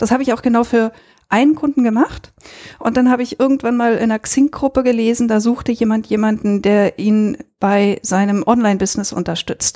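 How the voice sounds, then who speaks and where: A woman speaks at a fairly quick pace with a fairly high pitch and a dark, mellow tone. Her intonation is fairly even, her loudness very even, and the sound dry and close with no echo. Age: 40s. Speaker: WordPress freelancer, former banker. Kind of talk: casual interview. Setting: studio.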